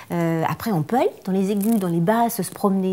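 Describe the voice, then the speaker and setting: A woman with a dark, mellow tone speaks on a very clean recording with a silent background. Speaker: singer and vocal coach. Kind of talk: interview. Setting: by a fireplace. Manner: hesitant, many repetitions.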